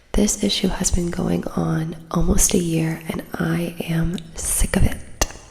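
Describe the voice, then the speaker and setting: A soft-spoken woman whispers at a very slow pace with hardly any pauses. Noticeable background noise sits behind her. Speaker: ASMR creator. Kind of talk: ASMR reading of online posts. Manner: whispered, soft-spoken.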